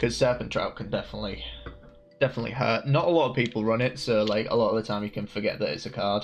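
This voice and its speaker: A man speaks with a strong Hull accent. His pace is very fast. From northern England, Hull. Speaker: card game streamer. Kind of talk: gameplay commentary. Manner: casual, filler-heavy.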